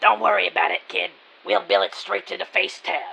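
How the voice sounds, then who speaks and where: The speaker uses a put-on character voice. The pace is fairly quick. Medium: audio drama. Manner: brusque, dismissive.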